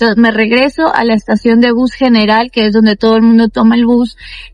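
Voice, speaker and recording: At a moderate pace, a woman speaks with a fairly high pitch while music plays in the background. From Ecuador. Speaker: travel vlogger. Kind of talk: casual vlog storytelling. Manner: animated.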